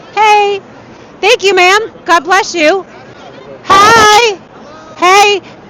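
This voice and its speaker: Over crowd noise in the background, a woman raises and projects her extremely high-pitched voice, speaking at a very slow pace with long, frequent pauses. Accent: American. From New York City. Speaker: political rally field reporter. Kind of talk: live street interviews. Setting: outdoors in rally line, live stream. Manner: energetic, conversational.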